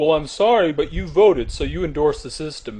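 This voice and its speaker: In a cartoonish character voice, a man talks at a fairly quick pace with a fairly high pitch. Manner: blunt, smug.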